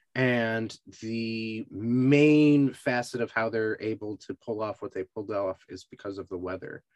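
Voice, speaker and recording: A man with an American accent speaks in an ordinary speaking voice at medium pitch, fairly slowly and with hardly any pauses, his intonation fairly even, the sound dry and close with no echo over a quiet background. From US Northeast, western Massachusetts. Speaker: podcast host. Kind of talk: casual interview chat.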